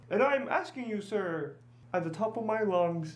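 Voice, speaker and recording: The speaker uses a put-on character voice. It sits at a middle pitch and keeps a moderate pace. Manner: shouting, upset.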